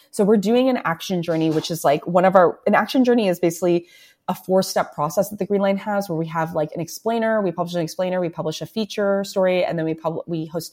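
Over a silent background in a very clean recording, a woman with a Canadian accent speaks very fast with hardly any pauses, her fairly low pitch showing ordinary variation. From Toronto, Canada (Scarborough). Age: 30s. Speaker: journalist and news publisher. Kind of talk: casual interview.

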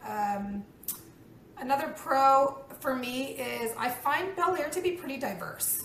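Amid audible room echo and noticeable background noise, a woman with an American accent speaks at a very slow pace, with a high pitch and lively intonation. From Texas. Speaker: surgeon. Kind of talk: casual interview.

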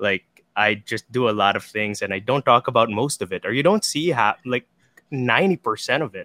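The voice moves at a fairly quick pace with a bright, sharp tone, in a dry, close sound with no echo. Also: man, medium pitch for a man, lively intonation. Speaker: talent manager and content producer. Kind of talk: interview. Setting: video call. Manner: halting, many repeated words.

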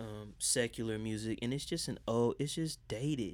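Using a normal speaking voice, a man talks at a fairly slow pace and a medium pitch. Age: 30s. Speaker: R&B singer and podcast producer. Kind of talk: casual chat.

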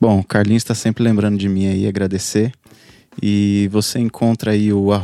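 Dark and mellow in tone, a man at fairly low pitch speaks at a moderate pace in a dry, close sound with no echo. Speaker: podcast editor. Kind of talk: casual chat. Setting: video call live stream.

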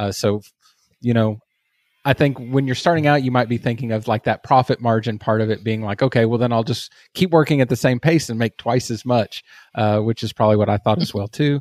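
A man with a Texas accent at a medium pitch, fairly quick pace and ordinary pitch variation, in a very clean recording with a silent background and a dry, close sound with no echo. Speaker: agency owner and online community founder. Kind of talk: casual interview chat.

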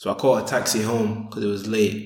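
Audible room echo surrounds a man with a Sheffield accent. His pitch is fairly low and his intonation monotone and flat. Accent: Yorkshire (Sheffield) English. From northern England, Sheffield. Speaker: convert sharing his life story. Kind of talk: interview, personal testimony.

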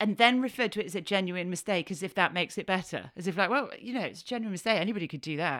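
In a Yorkshire accent, a woman with a medium-pitched voice speaks in an animated tone on a very clean recording with a silent background. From Yorkshire, northern England. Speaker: podcast host. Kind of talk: casual monologue.

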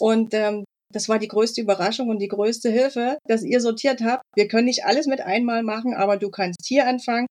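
Pitched fairly high with ordinary variation, a woman talks in a normal speaking voice. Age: 40s. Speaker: online shop owner. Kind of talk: interview.

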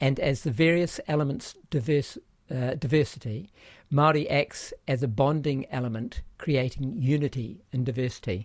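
A somewhat breathy man speaks at a fairly high pitch and moderate pace. The recording is very clean with a silent background. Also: ordinary pitch variation. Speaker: podcast host. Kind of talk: casual interview conversation.

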